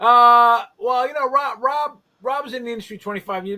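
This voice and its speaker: A man with an extremely high pitch projects a raised voice in a bright, sharp tone at a fairly quick pace. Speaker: garage cleaning business owner and industry trainer. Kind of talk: casual chat. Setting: live stream video call.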